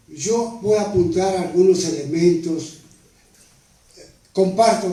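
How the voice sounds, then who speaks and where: Noticeable background noise and audible room echo surround this recording. A man speaks fairly slowly at a high pitch, with ordinary pitch variation. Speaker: author and history speaker on a panel. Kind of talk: panel talk. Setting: panel discussion at a table. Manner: formal.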